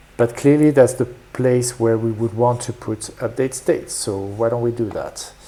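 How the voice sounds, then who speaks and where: Someone with a French accent talks at a moderate pace. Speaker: programming streamer. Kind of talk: live coding stream; casual chat with viewers. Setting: live stream. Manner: hesitant, many fillers.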